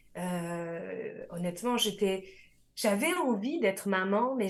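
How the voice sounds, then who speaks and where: The pace is very slow. The intonation is lively. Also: woman. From France. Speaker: life coach, radio columnist. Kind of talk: radio interview.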